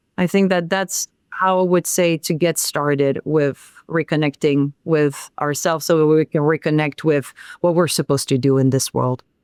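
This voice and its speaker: A woman speaks with a French accent at a moderate pace. Her pitch is very deep and low, and her intonation fairly even. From France. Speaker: sound healer. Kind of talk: podcast interview.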